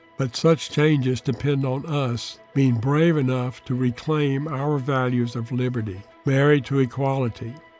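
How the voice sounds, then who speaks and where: With music in the background, a man speaks at medium pitch and a moderate pace with fairly even intonation. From United States. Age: 80s+. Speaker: Jungian analyst and author. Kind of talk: reflective reading from own memoir.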